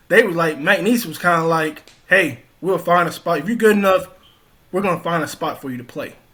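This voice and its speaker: With a Louisiana accent, a man speaks fairly quickly in a high, bright, sharp voice with ordinary pitch variation. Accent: Southern US (Louisiana). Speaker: former college football player. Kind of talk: interview. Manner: casual, conversational.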